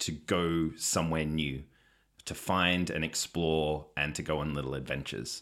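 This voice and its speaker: With an Australian accent, a man talks at a fairly slow pace in a very deep, low voice, on a very clean recording with a silent background. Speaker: podcast guest, stepfather and father. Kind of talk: casual chat.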